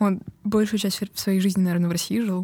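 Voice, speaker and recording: Her tone is dark and mellow, somewhat breathy, and the woman's intonation stays fairly even. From Estonia. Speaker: comedian. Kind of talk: casual chat.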